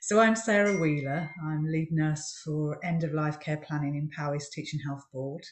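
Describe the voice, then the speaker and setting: Speaking at a fairly slow pace, a woman has a very deep, low pitch. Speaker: palliative care nurse. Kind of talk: panel discussion.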